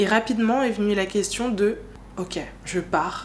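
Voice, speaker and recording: Speaking with fairly even intonation, a woman keeps to a fairly slow pace. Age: 20s. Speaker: podcast host. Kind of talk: personal monologue. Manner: casual, hesitant with fillers.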